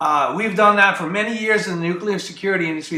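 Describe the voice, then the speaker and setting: A man with a Greek accent and ordinary pitch variation, amid audible room echo and noticeable background noise. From US Midwest, Ohio. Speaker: staffing business owner. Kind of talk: talk show interview.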